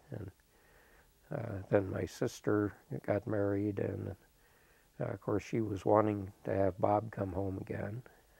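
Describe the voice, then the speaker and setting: In an American accent, the speaker talks at a fairly slow pace with fairly even intonation, a somewhat breathy, dark, mellow tone and long, frequent pauses, in a dry sound with no echo. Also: man, fairly low pitch for a man. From Urbana, Illinois; Illinois. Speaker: interviewee. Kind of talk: interview answer. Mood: calm, reflective. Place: studio.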